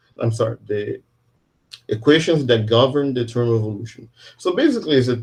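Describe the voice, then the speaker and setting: A man talks in a somewhat breathy voice at a medium pitch, with ordinary pitch variation. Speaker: physics professor. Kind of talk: lecture.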